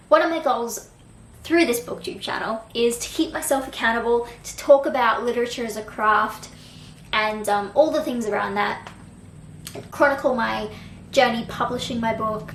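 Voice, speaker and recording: A woman with an Australian accent talks at a moderate pace and fairly high pitch, with ordinary pitch variation and big swings in loudness, amid audible room echo and noticeable background noise. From Australia, Brisbane. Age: 20s. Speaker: book vlogger. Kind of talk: casual vlog talk to camera.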